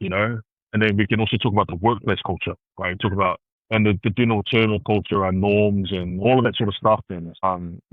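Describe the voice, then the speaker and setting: Speaking at a fairly quick pace with a New Zealand accent, a man keeps a fairly low pitch and fairly even intonation. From Christchurch, New Zealand. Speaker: consultant and community leader. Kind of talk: podcast interview answer.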